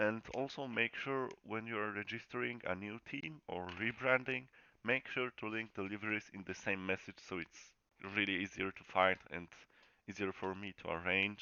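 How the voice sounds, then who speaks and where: Moderate pace and ordinary pitch variation, with a Polish accent. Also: man, fairly low pitch for a man. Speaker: sim racing league host. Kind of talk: channel update announcement. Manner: casual, halting.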